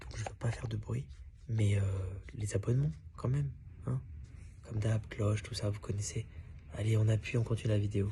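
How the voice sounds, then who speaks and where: This soft-spoken voice has a dark, mellow tone with vocal fry and lively intonation. It moves at a fairly quick pace, broken by long, frequent pauses. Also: man, fairly low pitch for a man. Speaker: comedian commenting on his show video. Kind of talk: aside to camera.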